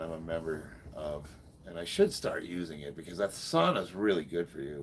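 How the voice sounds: Talking at a fairly quick pace, a man with an American accent has a slightly mellow tone.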